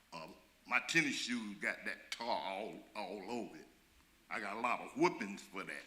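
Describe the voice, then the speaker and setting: In an audible room echo, a man with an American accent and a medium pitch speaks fairly slowly with ordinary pitch variation. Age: 70s. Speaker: community member asking a question. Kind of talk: public meeting question. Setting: church community meeting. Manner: halting.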